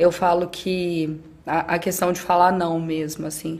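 A woman is speaking. Her pace is very slow. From Brazil, interior of Minas Gerais. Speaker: athlete and skydiver. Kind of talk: casual chat.

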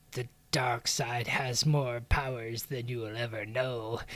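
Speaking at a fairly slow pace in a put-on character voice, a man holds a medium pitch with monotone, flat intonation. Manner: menacing, ominous.

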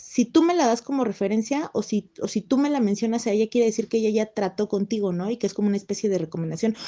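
Talking at a very fast pace with hardly any pauses, a woman uses a fairly high pitch with ordinary pitch variation. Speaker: writer. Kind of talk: interview. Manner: fast, many fillers and repetitions.

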